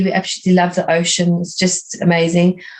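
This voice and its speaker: A woman with a South African accent speaks at a fairly quick pace, her medium pitch held in a monotone, flat intonation. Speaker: art teacher and art coach. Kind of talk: interview conversation.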